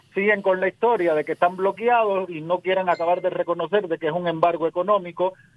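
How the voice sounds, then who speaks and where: A man talks at a very fast pace with hardly any pauses. His voice is high and his intonation fairly even. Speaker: radio host and political commentator. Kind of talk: remote interview.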